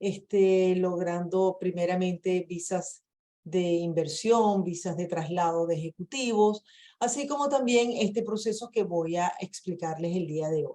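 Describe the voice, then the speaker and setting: In a Venezuelan accent, a woman speaks fairly slowly in a dark, mellow tone at medium pitch, with ordinary pitch variation. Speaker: immigration lawyer. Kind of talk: webinar presentation. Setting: video call.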